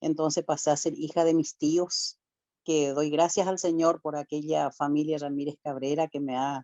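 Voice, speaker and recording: A woman speaks in a very deep, low pitch at a moderate pace. Her intonation is monotone and flat. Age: 60s. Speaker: church speaker giving testimony. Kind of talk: testimony. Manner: emotional.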